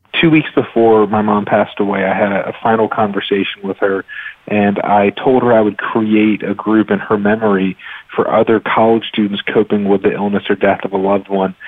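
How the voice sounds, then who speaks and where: Fairly low male pitch, monotone, flat intonation and a fairly quick pace from a man over noticeable background noise. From US South, North Carolina (Raleigh). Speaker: physician and medical researcher. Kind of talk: interview. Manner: hesitant with fillers.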